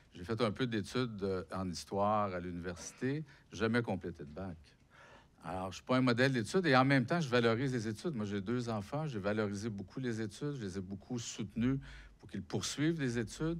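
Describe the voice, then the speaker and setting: With a Quebec accent, a man talks at a fairly quick pace in a medium pitch, using lively intonation and big swings in loudness. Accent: Québécois French. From Quebec, Abitibi (Rouyn-Noranda). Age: 60s. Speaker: author and unemployment activist. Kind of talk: public talk interview. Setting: lecture hall with audience.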